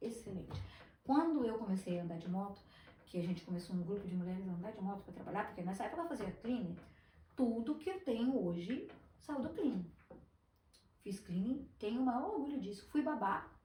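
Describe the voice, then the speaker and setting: Amid noticeable background noise and audible room echo, a woman speaks at a fairly high pitch with lively intonation and long, frequent pauses. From Brazil, Espírito Santo. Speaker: business owner, former teacher. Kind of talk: podcast interview.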